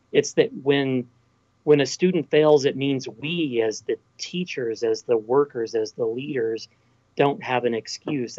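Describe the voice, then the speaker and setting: Speaking in a West Texas accent, a man keeps a medium pitch and fairly even intonation at a fairly slow pace. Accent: Texan (West Texas). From Texas Panhandle. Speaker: college president. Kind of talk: interview.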